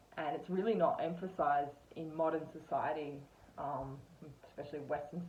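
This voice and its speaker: The speaker uses an Australian accent at a moderate pace. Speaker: spiritual content creator. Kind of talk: casual monologue. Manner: hesitant, many fillers.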